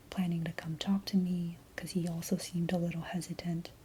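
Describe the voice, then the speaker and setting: A woman speaks softly, her pitch fairly low. Her tone is dark and mellow and somewhat breathy. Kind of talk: soft-spoken ASMR rambling to camera. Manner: soft-spoken, hesitant, rambling.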